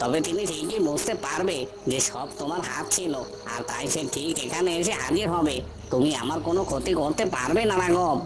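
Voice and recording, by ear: A cartoonish character voice at a middle pitch and moderate pace, set against loud background noise.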